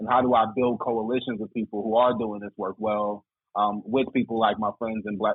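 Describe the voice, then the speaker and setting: A man with a plain, everyday voice talks at a fairly quick pace and a medium pitch. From Greensboro, North Carolina. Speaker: diversity program manager. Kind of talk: casual chat.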